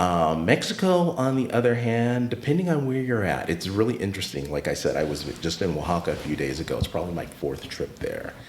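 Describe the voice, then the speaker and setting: A man talks at a fairly quick pace, his pitch swinging very widely. Noticeable background noise sits behind him. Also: medium pitch for a man. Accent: American. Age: 50s. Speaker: retired teacher and art space founder. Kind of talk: podcast interview.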